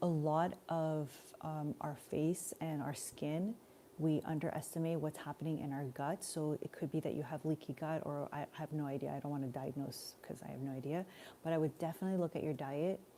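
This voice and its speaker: A woman's very deep, low voice with a dark, mellow tone, fairly even intonation, a fairly quick pace and a Montreal accent. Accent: Canadian English (Montreal). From Montreal, Canada. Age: 40s. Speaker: spiritual life coach. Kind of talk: live stream Q&A. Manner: casual, conversational.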